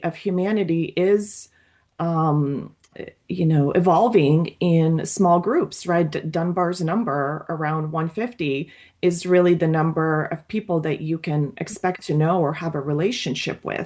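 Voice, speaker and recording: With a dark, mellow tone, a woman speaks with ordinary pitch variation. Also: fairly slow pace. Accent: Russian. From Latvia, emigrated to US at age 11. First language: Russian. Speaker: psychoanalyst. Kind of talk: group discussion. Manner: hesitant, many fillers and restarts.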